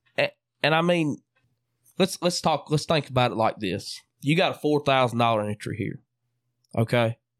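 On a very clean recording with a silent background and a dry, close sound with no echo, a man with a Southern US accent speaks at a moderate pace and a fairly high pitch, using lively intonation and long, frequent pauses. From Mississippi. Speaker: podcast host. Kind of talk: casual chat. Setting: home studio.

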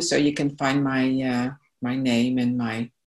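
A woman talks with a Dutch accent. Her pace is very slow. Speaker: psychotherapist and EFT trainer. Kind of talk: interview. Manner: halting.

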